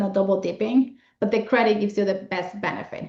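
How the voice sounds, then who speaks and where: A woman at a medium pitch, fairly even in intonation, at a fairly quick pace. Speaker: accountant and financial planner hosting a webinar. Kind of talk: webinar presentation. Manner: fast.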